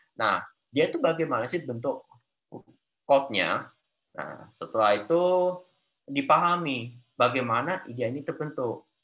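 Speaking in a strong Javanese accent, a man with a fairly high pitch and a bright, sharp tone uses lively intonation at a moderate pace, broken by long, frequent pauses. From Central Java, Solo area; Central Java. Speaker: Android developer; guest. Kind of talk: interview. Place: home room. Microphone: video call.

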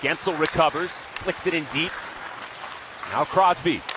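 Crowd noise in the background sits behind a man who speaks at a high pitch. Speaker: hockey play-by-play announcer. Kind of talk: live sports commentary, play-by-play. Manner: fast, rhythmic, clipped play-by-play delivery.

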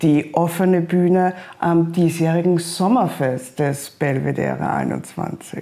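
Using a dark, mellow tone with vocal fry, a woman talks at a fairly slow pace and fairly low pitch, her intonation lively.

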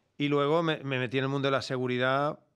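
A man talks fairly quickly, with a quiet background behind him. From Barcelona, Spain; Spain. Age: 50s. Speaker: security company founder; podcast guest. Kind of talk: interview conversation; interview answer. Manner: animated. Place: studio. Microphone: studio mic.

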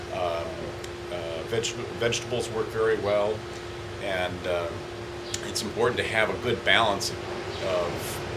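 Loud background noise sits behind a man who speaks at a fairly slow pace. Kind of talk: interview answer. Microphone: phone near.

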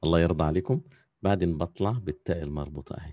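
Against a quiet background, a man talks at a very fast pace in a very deep, low voice with vocal fry. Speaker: calligraphy teacher. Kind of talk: online class tutorial. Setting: video call.

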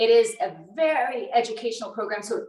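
A woman talks at a moderate pace against a quiet background. Audible room echo surrounds her voice. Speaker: fitness trainer. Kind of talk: casual Q&A talk. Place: kitchen. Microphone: video call.

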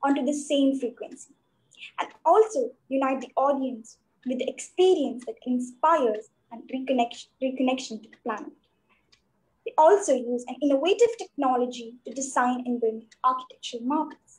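A woman with a high voice talks at a medium speed, her pitch rising and falling in the usual way. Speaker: student host. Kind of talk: formal introduction. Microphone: video call.

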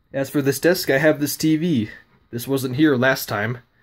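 Pitch variation is ordinary as a man speaks. His pace is moderate. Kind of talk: casual vlog chat. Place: home room. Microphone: phone near.

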